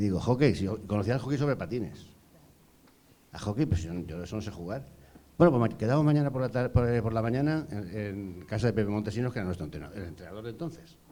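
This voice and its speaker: A dark, mellow tone rides on lively intonation at a very fast pace. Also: man, fairly low pitch for a man. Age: 60s. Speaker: former field hockey goalkeeper. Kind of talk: panel discussion.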